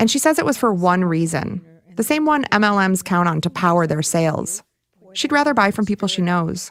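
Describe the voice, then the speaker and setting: In a plain, everyday voice, a woman talks at a fairly quick pace with a medium pitch and lively intonation. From Michigan. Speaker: documentary podcast host. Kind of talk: scripted narration.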